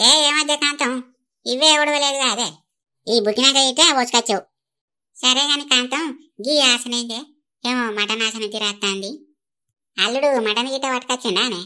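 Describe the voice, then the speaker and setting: A woman puts on a character voice, high-pitched and at a moderate pace. The recording is very clean, with a silent background. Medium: comedy sketch. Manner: chatty, gossiping.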